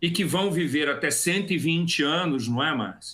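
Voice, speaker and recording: A man talks at a fairly slow pace in a high voice with a bright, sharp tone. His pitch shows ordinary variation. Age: 60s. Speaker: expert panelist on aging. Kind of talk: webinar talk. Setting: online webinar.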